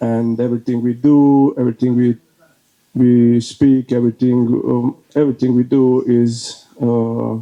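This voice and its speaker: A man with a Croatian accent, medium pitch, monotone, flat intonation and a fairly slow pace. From Bosnia and Herzegovina (Herzegovina, Croatian). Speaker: speaker at a faith event, leader of a men's prayer group. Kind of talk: talk to an audience. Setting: speaking before an audience. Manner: halting, many fillers.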